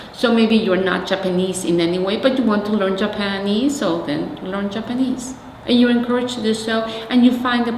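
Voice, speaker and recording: A woman's medium-pitched voice at a fairly quick pace, with ordinary pitch variation, noticeable background noise and audible room echo. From Mexico City, Mexico. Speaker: community organizer. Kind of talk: oral history interview.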